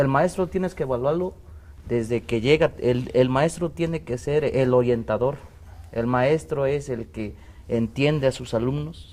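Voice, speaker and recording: Speaking at a fairly slow pace, a man keeps to a medium pitch with ordinary variation. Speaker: teacher union representative. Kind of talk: panel debate. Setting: TV studio. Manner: halting.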